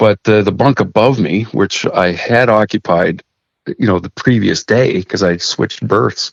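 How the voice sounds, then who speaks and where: In a Canadian accent, a man with a normal speaking voice and fairly low pitch talks at a fairly slow pace, the sound dry and close with no echo. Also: ordinary pitch variation. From Saskatchewan, Canada. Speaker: master mariner. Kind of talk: interview storytelling.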